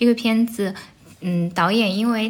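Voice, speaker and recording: A woman's medium-pitched voice at a moderate pace. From Anhui, Shucheng (Lu'an). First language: Anhui dialect (Jianghuai Mandarin) (speaking Chinese). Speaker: podcast host. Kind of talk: casual chat. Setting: at home, sitting on the floor.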